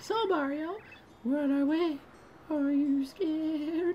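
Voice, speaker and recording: Over clear background noise, a man uses a squeaky, put-on character voice at an extremely high pitch and a fairly slow pace. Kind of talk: reading game dialogue aloud in character. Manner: attempted female voice.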